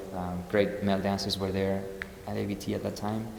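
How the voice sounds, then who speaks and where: A man with a slight Spanish accent speaks in a very deep, low voice. Noticeable background noise and audible room echo surround him. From Spain. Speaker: ballet dancer. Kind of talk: interview Q&A. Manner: halting, many fillers.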